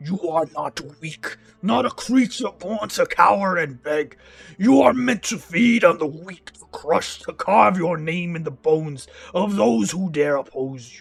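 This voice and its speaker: Putting on a growling character voice, a man speaks at a moderate pace with a high pitch. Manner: growling, menacing.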